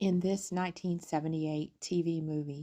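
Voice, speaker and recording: In a calm tone, a woman with a very deep, low pitch speaks at a moderate pace with fairly even intonation over a quiet background. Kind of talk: film review voice-over.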